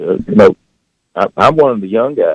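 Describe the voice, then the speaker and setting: A man with a West Tennessee accent at a moderate pace. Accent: Southern US (West Tennessee). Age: 60s. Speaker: farmer. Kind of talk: casual chat. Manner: halting.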